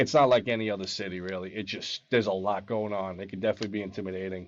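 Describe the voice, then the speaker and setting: A man with a New York accent talks at a very fast pace, with fairly even intonation and big swings in loudness. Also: fairly low pitch for a man. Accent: New York accent, noticeable. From Long Island, New York. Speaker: experienced bowhunter, urban deer management. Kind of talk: casual interview chat.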